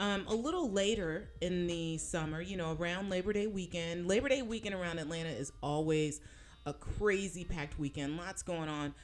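A woman with a normal speaking voice talks at a moderate pace, her fairly low pitch showing ordinary variation. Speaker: podcast host. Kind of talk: casual chat.

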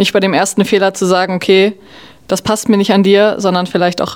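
The woman's medium pitch stays in a monotone, flat intonation. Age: 20s. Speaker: generation Z interviewee. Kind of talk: interview answers.

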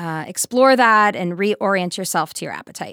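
A woman with an American accent and an unremarkable speaking voice, medium pitch, moderate pace and lively intonation, on a very clean recording with a silent background and a dry, close sound with no echo. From US Midwest, Wisconsin. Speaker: nutrition director and dietitian. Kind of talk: casual interview conversation.

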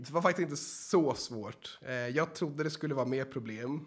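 In a very clean recording with a silent background, the speaker has an unremarkable speaking voice, ordinary pitch variation and a moderate pace. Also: man. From Sweden. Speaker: real estate agent trainee. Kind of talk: casual interview.

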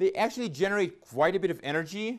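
A man speaks with very wide pitch swings. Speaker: physicist. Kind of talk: public lecture. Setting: auditorium with audience. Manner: loud.

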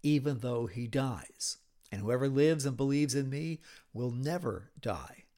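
The delivery is plain reading aloud with fairly even intonation.

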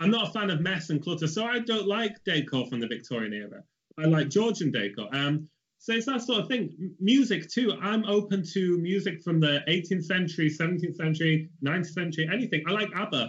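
Speaking with a Mancunian accent, a man talks at a fairly quick pace with high pitch and lively intonation. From Stockport, Greater Manchester, England. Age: 20s. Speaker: portrait artist. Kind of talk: casual interview chat.

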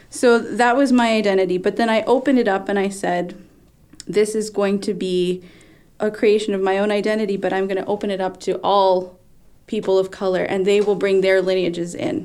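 A woman with an American accent talks fairly quickly in a normal speaking voice. Her medium pitch moves with fairly even intonation. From South Texas (Corpus Christi). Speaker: singer-songwriter and educator. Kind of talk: panel discussion.

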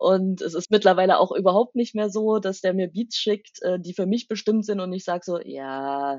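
A woman speaks in an ordinary speaking voice at a medium pitch, with ordinary pitch variation and a moderate pace. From eastern Germany, Saxony near Leipzig. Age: 30s. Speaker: rapper and university language lecturer. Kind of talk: interview.

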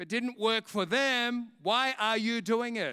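A man with an Australian accent uses a raised, projected voice with a high pitch and a bright, sharp tone. The recording is very clean and dry, close with no echo and a silent background. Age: 50s. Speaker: preacher. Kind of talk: sermon. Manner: animated.

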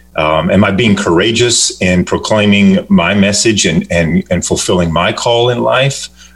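A man with a fairly low voice talks at a fairly slow pace, with ordinary pitch variation and very even loudness. He hardly pauses, and there is noticeable background noise. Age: 50s. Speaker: children's book author. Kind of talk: radio interview.

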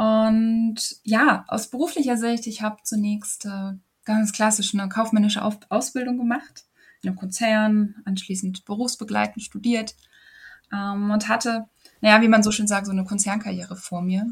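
A woman talks at a fairly high pitch and a moderate pace. Her voice is somewhat breathy, with monotone, flat intonation. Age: 30s. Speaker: yoga and women's health coach. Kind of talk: interview.

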